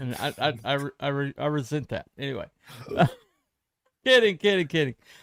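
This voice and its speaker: A normal speaking voice, this man's is fairly high in pitch with ordinary pitch variation, moving at a fairly quick pace in a dry, close recording with no echo. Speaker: live stream host. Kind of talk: casual chat. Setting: live stream.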